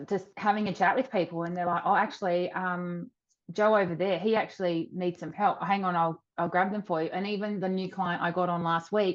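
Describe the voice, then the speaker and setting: This woman has an Australian accent. She talks at a fairly quick pace. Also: medium pitch for a woman. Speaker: virtual assistant business owner. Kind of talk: interview. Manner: bubbly, a bit loud.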